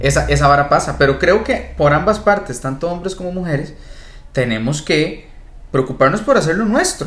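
A man talks at a fairly high pitch. Audible room echo and noticeable background noise are present. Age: 20s. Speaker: podcast co-host. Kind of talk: casual chat.

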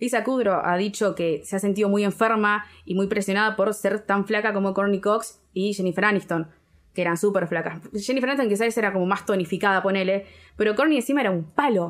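A woman with a Rioplatense accent speaks at a fairly quick pace and a medium pitch. Her loudness is very even, and her pitch variation is ordinary. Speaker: podcast co-host. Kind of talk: casual chat.

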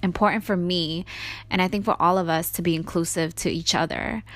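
A woman with an American accent speaks in a normal speaking voice at a fairly low pitch. The recording is very clean, with a silent background. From New York City. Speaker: podcast host. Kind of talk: solo podcast monologue.

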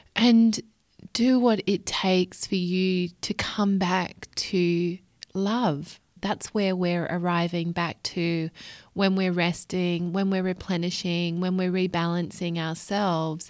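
Very slowly, a woman with an Australian accent speaks at a medium pitch in a warm, soothing tone. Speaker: podcast host, life coach. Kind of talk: solo podcast monologue.

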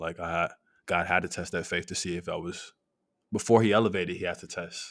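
An unremarkable speaking voice from a man at a moderate pace, fairly even in intonation, on a very clean recording with a silent background. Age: 20s. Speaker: professional basketball player. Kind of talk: casual chat. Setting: at home.

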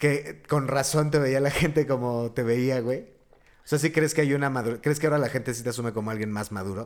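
At a fairly quick pace, a man with medium pitch and ordinary pitch variation talks in an unremarkable speaking voice. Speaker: podcast host. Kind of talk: casual chat.

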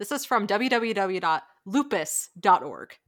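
A woman with a normal speaking voice talks at medium pitch with lively intonation, in a very clean recording with a silent background. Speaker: podcast co-host. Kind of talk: casual conversational interview.

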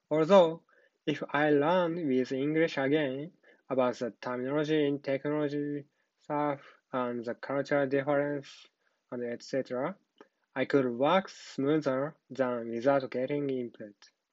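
A man with a Japanese accent, fairly high in pitch, with fairly even intonation at a fairly slow pace. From Japan, Nara. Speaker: software engineer and ESL student. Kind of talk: prepared personal presentation.

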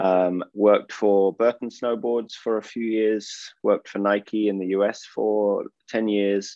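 Fairly low-pitched man's voice with a southern English accent, fairly slow and monotone with flat intonation. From England (Oxford). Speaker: entrepreneur, former snowboarder. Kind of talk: interview.

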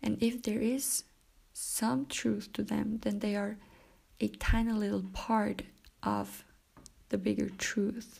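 A woman speaks with a non-native accent. Her pace is very slow, with long, frequent pauses. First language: not English. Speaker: self-help podcaster. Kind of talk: solo monologue talk. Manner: laughs often; hesitant, many fillers.

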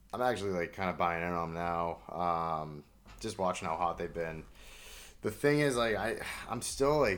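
Very deep and low, a man's voice moves at a moderate pace with lively intonation. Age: 20s. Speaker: sports podcast co-host. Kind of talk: casual chat.

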